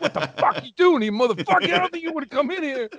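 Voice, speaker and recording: A man in a put-on character voice, gruff and extremely high-pitched, at a very fast pace. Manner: aggressive, confrontational.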